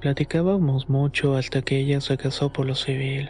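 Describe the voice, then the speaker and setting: A man's fairly high-pitched voice in a monotone, flat intonation at a moderate pace, with music in the background. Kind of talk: first-person horror story narration, told as a personal memoir.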